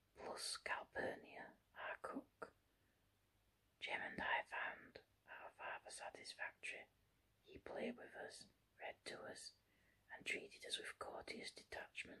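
A soft-spoken whisper delivered at a very slow pace, broken by long, frequent pauses. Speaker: reader. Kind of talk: reading a novel aloud. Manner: soft whispered reading of a novel. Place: home room. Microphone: phone near.

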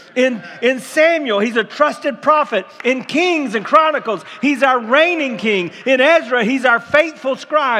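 A man with an American accent uses a raised, projected voice of extremely high pitch, energetic in tone, with ordinary pitch variation and hardly any pauses. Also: fairly slow pace. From Tampa, Florida, USA. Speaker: pastor. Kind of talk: sermon preached to a congregation. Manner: energetic, building excitement. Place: church.

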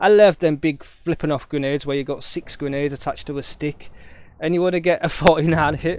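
In a Yorkshire accent, a man talks with a fairly high pitch. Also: dry sound with no echo. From Yorkshire, Hull (northern England). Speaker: gaming streamer; gamer streamer. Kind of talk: live gameplay commentary; casual gameplay commentary. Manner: casual, hesitant with fillers. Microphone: poor microphone, may cut out.

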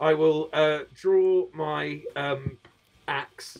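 At a very slow pace, a man speaks at a fairly high pitch with vocal fry and fairly even intonation.

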